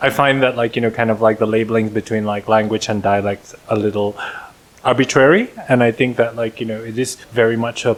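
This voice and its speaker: Speaking with an Indonesian accent, a man holds a medium pitch in monotone, flat intonation. Noticeable background noise runs underneath. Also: fairly quick pace. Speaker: podcast co-host. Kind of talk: casual chat.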